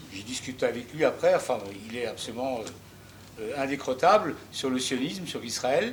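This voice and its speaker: A man's voice with lively intonation. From Alsace, Strasbourg. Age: 70s. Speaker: audience member asking a question. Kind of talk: audience question at a public debate. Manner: hesitant, many fillers.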